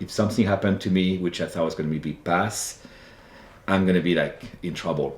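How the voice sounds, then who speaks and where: This man's voice has a very deep, low pitch. He speaks with a slight French accent. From France, Loire Valley. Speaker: wine buyer. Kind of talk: interview storytelling. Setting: live in-person show in Napa Valley.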